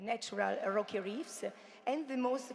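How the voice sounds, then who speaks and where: A woman talks at a fairly slow pace with ordinary pitch variation. Noticeable background noise runs under her voice. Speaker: marine biologist and teacher presenting project work. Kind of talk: conference presentation. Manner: halting, many fillers.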